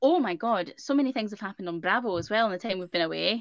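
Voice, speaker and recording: In a Scottish accent, a woman speaks with a fairly high pitch, a bright, sharp tone and lively intonation. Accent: Scottish, similar to co-host's. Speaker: podcast co-host. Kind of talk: casual chat. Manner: animated.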